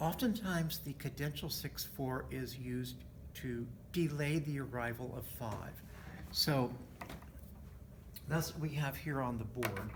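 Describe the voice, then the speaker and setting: The delivery is fairly slow, with long, frequent pauses. Background noise is noticeable throughout. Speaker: music theory teacher. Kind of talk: lecture.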